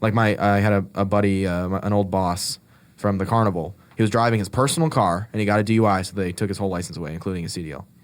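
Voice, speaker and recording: Rattling along at a very fast pace, a man with a fairly low pitch is heard in a very clean recording with a silent background. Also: ordinary pitch variation. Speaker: podcast co-host. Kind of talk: casual chat.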